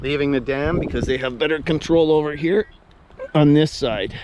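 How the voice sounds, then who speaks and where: A man's fairly high voice moves at a fairly quick speed, with noticeable background noise behind it. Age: 60s. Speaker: outdoors vlogger. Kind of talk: casual vlog talk while walking. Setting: outdoors on a nature walk.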